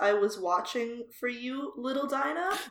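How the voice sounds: At a moderate pace, a woman uses a guttural, high-pitched put-on character voice.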